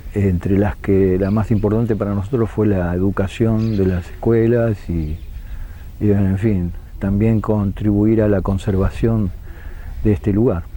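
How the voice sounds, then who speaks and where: A man's fairly low voice at a fairly slow pace, with very even loudness and fairly even intonation, over noticeable background noise. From Argentina, Moreno (Buenos Aires). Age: 70s. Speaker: museologist. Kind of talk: interview. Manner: hesitant, with fillers.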